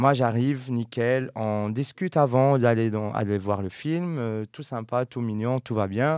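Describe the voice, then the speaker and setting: A medium-pitched man speaks at a very slow pace with ordinary pitch variation, recorded very cleanly against a silent background. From Morocco. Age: young. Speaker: podcast host. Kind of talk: casual chat.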